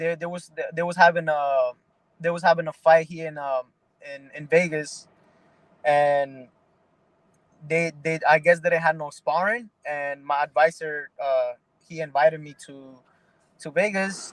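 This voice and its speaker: The intonation stays fairly even while the loudness swings widely, and long pauses come often. The pace is fairly slow, with a dry, close sound and no echo. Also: man, fairly high pitch for a man. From Mexico, raised in the Bronx, New York. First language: Spanish. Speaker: pro boxer. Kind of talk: interview. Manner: halting, many repeated words.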